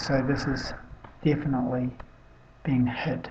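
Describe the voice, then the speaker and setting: Soft-spoken and very deep, a woman talks at a fairly slow pace with audible room echo. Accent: New Zealand. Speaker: amateur weather-watch video maker. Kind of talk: casual commentary on satellite images. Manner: soft-spoken, speaking quietly; halting, many fillers.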